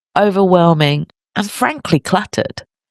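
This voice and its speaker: At a fairly slow pace, the voice carries a warm tone in a dry, close sound with no echo. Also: man. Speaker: podcast host, professional organiser. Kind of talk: solo podcast talk. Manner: conversational, warm.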